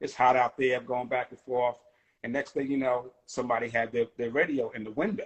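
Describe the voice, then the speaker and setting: An ordinary speaking voice from a man with an American accent, at medium pitch and a fairly quick pace, with fairly even intonation and big swings in loudness. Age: 50s. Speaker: hip hop rapper. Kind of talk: casual interview. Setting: phone call.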